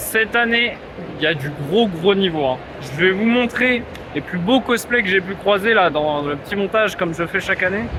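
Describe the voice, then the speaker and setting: Over noticeable background noise, a man with a high pitch uses a raised, projected voice at a moderate pace with ordinary pitch variation. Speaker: YouTuber. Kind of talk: vlog. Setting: convention hall. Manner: casual, hesitant with fillers.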